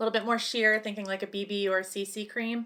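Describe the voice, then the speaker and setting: A soft-spoken woman at medium pitch, with a bright, sharp yet gentle tone, a monotone, flat intonation and a fairly quick pace, in a very clean recording with a silent background. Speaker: cosmetics consultant (ASMR roleplay). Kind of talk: ASMR roleplay consultation with personal attention. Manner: soft-spoken, gentle.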